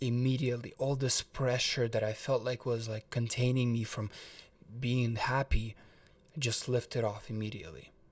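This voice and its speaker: At a moderate pace, a man with a slight Russian accent speaks at a medium pitch, somewhat breathy, with fairly even intonation. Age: 20s. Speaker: motivational vlogger. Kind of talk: personal story vlog. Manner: casual, filler-heavy with repetitions.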